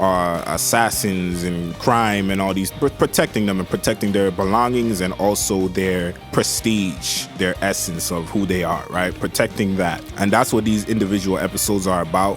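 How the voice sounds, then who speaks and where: With music in the background, the speaker keeps a relaxed tone and a moderate pace. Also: man. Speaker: anime reviewer. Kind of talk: casual talk to camera. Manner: casual, relaxed.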